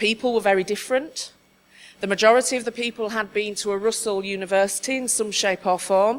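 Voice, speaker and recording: A woman speaks at a fairly quick pace in a medium pitch, with lively intonation. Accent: Yorkshire. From Yorkshire, northern England. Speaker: conference speaker, diversity adviser. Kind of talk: conference talk.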